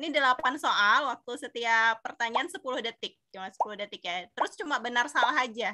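Against a quiet background, a woman with a high pitch and a bright, sharp tone speaks at a fairly quick pace with lively intonation and hardly any pauses. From Indonesia. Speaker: webinar moderator. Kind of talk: webinar moderation. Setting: video call. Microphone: earbuds.

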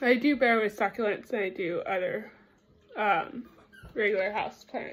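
A woman speaks with ordinary pitch variation. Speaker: vlogger showing gifts. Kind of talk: casual vlog chat. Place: kitchen. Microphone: phone near.

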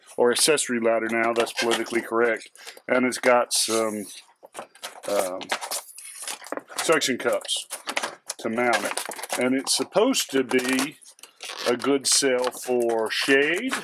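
Long, frequent pauses from a man at a fairly slow pace, over noticeable background noise. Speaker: hobbyist reviewer. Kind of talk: tutorial. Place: garage.

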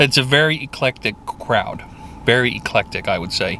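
The sound is dry with no echo as a man talks at a moderate pace over light background noise. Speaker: food reviewer. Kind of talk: casual vlog chat. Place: car. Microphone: phone near.

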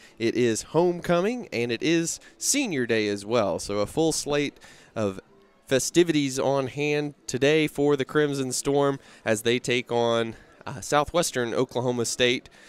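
Talking at a fairly slow pace, a man shows ordinary pitch variation in a dry sound with no echo. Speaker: play-by-play commentator. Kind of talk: sports commentary. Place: stadium. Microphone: headset.

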